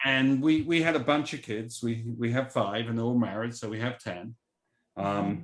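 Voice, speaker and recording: A man with an English accent speaks at medium pitch and a moderate pace. The recording is very clean with a silent background, and his pitch variation is ordinary. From England. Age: 60s. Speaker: venture capitalist. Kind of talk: casual chat.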